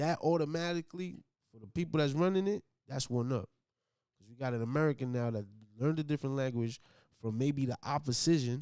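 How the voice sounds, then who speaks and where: On a very clean recording with a silent background, a man with a fairly high pitch and a dark, mellow tone speaks very fast with long, frequent pauses, ordinary pitch variation and big swings in loudness. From US, child of Colombian immigrants. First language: Spanish. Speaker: podcast co-host. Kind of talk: casual chat.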